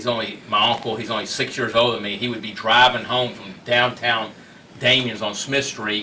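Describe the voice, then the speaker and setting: A man with a Texan accent at medium pitch, big swings in loudness, audible room echo and noticeable background noise. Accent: Texan American. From Houston, Texas. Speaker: restaurateur. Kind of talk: interview storytelling. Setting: studio. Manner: fast; animated.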